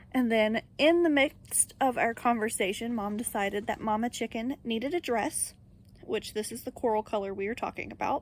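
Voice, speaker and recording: A woman speaks at a fairly high pitch. Her pitch variation is ordinary. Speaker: crochet vlogger. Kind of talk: casual vlog talk to camera. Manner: fast.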